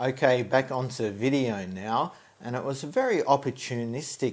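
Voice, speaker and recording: Speaking with an Australian accent, a man moves at a fairly slow pace with ordinary pitch variation. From Australia (Tasmania). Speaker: stock photographer and video creator. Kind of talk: tutorial. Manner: hesitant, many fillers.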